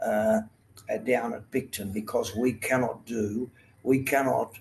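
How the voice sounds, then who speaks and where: A man speaks with an Australian accent at a medium pitch. His pace is fairly slow. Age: 80s+. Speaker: retired water polo Olympian and coach. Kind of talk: interview answer.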